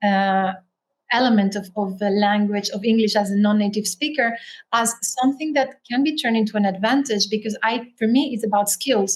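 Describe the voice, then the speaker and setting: Somewhat breathy and fairly high-pitched, a woman talks at a fairly quick pace with fairly even intonation. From Spain, Canary Islands; also raised in France. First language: Spanish. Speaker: author and writer. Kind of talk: interview.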